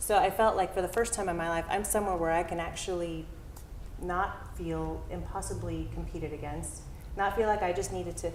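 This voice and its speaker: A soft-spoken woman talks at a fairly quick pace with an American accent. Audible room echo surrounds her voice. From Southern California (San Diego area). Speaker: town hall speaker, arts organization staff. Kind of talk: personal story at public talk. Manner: halting, many fillers.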